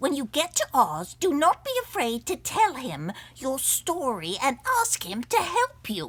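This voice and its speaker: Speaking at a moderate pace, a woman uses a high-pitched put-on character voice with very wide pitch swings. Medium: read story.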